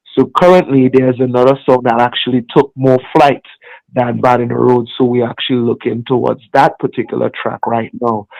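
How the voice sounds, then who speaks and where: The sound is dry and close with no echo as a man talks at a moderate pace and medium pitch. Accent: Trinidadian. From Trinidad and Tobago. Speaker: music artist. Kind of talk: interview.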